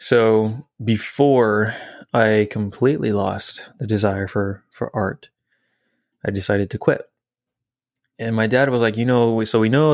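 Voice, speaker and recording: This man has a plain, everyday voice and an American accent. He speaks at a fairly low pitch on a very clean recording with a silent background. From southern Indiana. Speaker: church member, filmmaker and artist. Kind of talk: interview.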